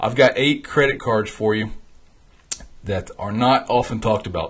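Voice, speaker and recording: A man talks in an animated tone that is somewhat breathy. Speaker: founder and host of a travel rewards show. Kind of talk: live stream talk. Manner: fast.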